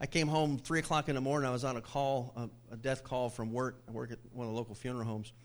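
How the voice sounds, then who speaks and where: A man's unremarkable speaking voice, medium in pitch, at a fairly quick pace with fairly even intonation. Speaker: pastor. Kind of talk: informal sermon. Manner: conversational, humorous storyteller.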